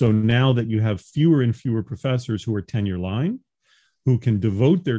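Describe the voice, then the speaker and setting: A man speaks at a fairly low pitch with ordinary pitch variation. He has a slight New York accent. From New York, Long Island. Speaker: professor. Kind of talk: interview.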